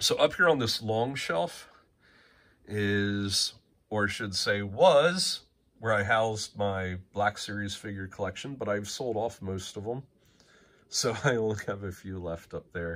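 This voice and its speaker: Speaking at a fairly slow pace, a man uses a fairly low pitch with ordinary pitch variation. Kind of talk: casual tour commentary. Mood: relaxed, enthusiastic, some laughs. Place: home room. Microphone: phone near.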